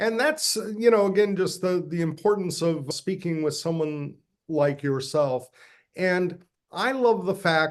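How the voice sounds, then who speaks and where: An ordinary speaking voice talks at a fairly slow pace with ordinary pitch variation. The background is quiet. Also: man. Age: 60s. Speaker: podcast host. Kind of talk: interview.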